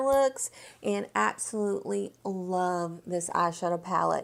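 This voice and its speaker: In a Southern US accent, a woman talks at a moderate pace on a very clean recording with a silent background. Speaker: beauty vlogger. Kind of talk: product review vlog. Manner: animated.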